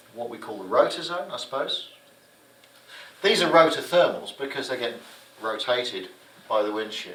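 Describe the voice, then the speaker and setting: A man speaks amid noticeable background noise, with audible room echo. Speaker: gliding instructor. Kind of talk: lecture. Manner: animated.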